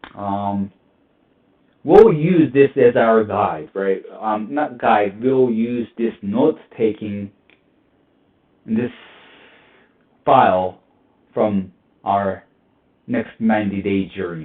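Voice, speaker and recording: A very slow pace with long, frequent pauses, a non-native accent and big swings in loudness. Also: man. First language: not English. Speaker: cybersecurity tutorial youtuber. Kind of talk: screen-recorded tutorial. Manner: halting, many fillers.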